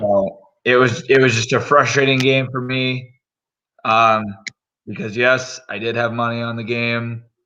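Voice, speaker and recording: Here a man talks in a medium pitch with a bright, sharp tone and monotone, flat intonation. His pace is fairly slow, broken by long, frequent pauses. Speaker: sports podcast host. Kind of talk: casual chat.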